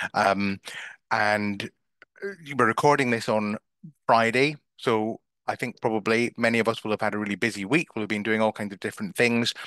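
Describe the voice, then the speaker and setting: Pausing long and often, a man speaks with a bright, sharp tone in a dry sound with no echo. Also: fairly even intonation, quiet background. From Scotland. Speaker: business coach; marketing coach. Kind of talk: online masterclass / webinar. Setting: video call (Zoom live stream) from a bedroom. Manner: hesitant filler words (um, uh). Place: home room. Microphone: headset.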